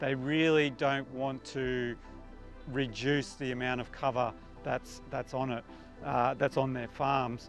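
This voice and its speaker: A man talks at a moderate pace. The sound is dry with no echo, and faint music plays in the background. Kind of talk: interview answer. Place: waterside. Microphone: lapel.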